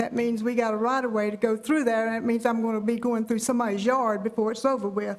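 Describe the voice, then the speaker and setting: The speaker has a North Carolina accent. The pace is fairly quick. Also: woman. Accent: Southern US (North Carolina). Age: 80s+. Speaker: elderly resident speaking at public comment. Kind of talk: public comment at council meeting. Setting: county board meeting room.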